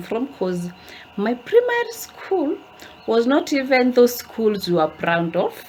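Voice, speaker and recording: A woman with an African accent at a fairly slow pace, amid noticeable background noise. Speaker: lifestyle vlogger. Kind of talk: casual vlog talk to camera. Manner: animated, chatty.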